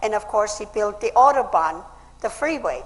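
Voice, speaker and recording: A woman's voice with ordinary pitch variation. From Austria. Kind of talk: public speech.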